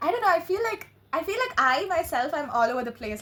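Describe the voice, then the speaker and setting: The speech comes at a very fast pace in an animated, excited tone with very wide pitch swings. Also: woman. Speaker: tarot reader. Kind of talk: tarot reading monologue. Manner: halting, stuttering.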